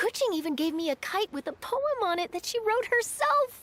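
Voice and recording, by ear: A woman's put-on character voice, extremely high with big pitch swings and a fairly bright tone, at a moderate pace in a dry, close sound with no echo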